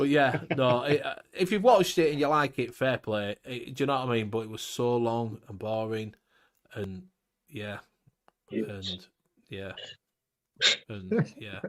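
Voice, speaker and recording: With a Yorkshire accent, a man at medium pitch speaks fairly slowly with ordinary pitch variation, long and frequent pauses, and big swings in loudness on a very clean recording with a silent background. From Yorkshire, northern England.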